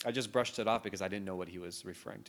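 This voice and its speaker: A man speaks in a fairly low pitch with ordinary pitch variation. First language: not English (English was his fourth language). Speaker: city councilmember. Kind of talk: interview. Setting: at home. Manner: hesitant, many fillers.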